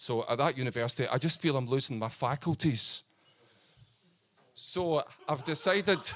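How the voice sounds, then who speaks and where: On a very clean recording with a silent background, a fairly high-pitched man speaks at a moderate pace with ordinary pitch variation and long, frequent pauses. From northern Scotland. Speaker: comedian. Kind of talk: stand-up. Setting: stage with audience. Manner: halting.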